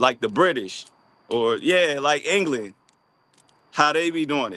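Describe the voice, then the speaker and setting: With an American accent, a man talks at a fairly high pitch and a fairly slow pace. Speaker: live streamer. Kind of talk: casual live stream monologue. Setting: outdoors on a walk. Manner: casual, repetitive.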